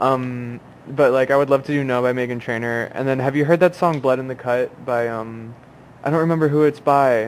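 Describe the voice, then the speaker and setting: A man with an unremarkable speaking voice talks fairly quickly at a medium pitch, keeping his intonation fairly even. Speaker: podcast co-host. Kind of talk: casual chat.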